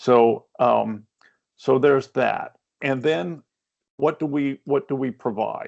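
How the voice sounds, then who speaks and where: A man is speaking. He has a Maine accent. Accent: Maine accent, noticeable. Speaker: workforce development consultant. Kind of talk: webinar presentation. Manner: hesitant, many fillers.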